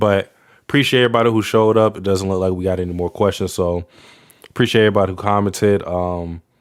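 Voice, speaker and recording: This man has a fairly low pitch. He speaks at a very fast pace. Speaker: livestreamer. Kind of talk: casual livestream chat. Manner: halting, repeats words.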